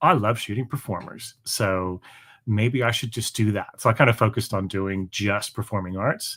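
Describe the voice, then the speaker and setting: A man with an American accent talks at a moderate pace in an ordinary speaking voice, fairly low in pitch with ordinary pitch variation. The recording is very clean, with a silent background. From Canada. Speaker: performing arts photographer and musician. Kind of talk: live interview chat. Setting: live stream.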